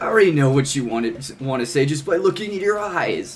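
Putting on a character voice, a man with a fairly high pitch talks at a fairly quick pace over clear background noise. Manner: confident, cocky.

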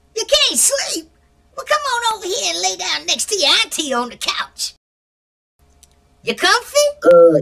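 A woman speaks at a moderate pace in an extremely high voice, with big swings in loudness. Long, frequent pauses break up her speech. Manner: sweet, cooing, then sinister.

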